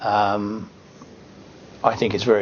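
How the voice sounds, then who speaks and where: A man with an Australian accent at a moderate pace, against noticeable background noise. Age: 60s. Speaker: retiring financial planner. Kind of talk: testimonial. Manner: hesitant, many fillers.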